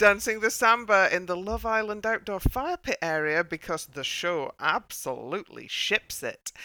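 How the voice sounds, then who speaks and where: Woman with a northern English accent, medium pitch and a bright, sharp tone, lively intonation at a moderate pace with hardly any pauses, dry and close with no echo, on a very clean recording with a silent background. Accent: northern English vowels. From northern England. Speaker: podcast co-host discussing TV dance show. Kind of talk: casual chat.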